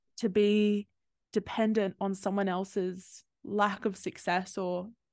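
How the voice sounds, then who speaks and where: Over a quiet background, a woman with an Australian accent speaks in a flat monotone, the sound dry and close with no echo. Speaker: podcast host, psychology graduate. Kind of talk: casual interview chat.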